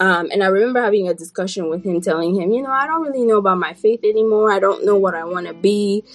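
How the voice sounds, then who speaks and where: A woman speaks at a very fast pace in a medium pitch with ordinary pitch variation. Noticeable background noise sits behind her voice. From Burkina Faso. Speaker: public health scientist and podcaster. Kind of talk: casual interview chat. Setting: video call.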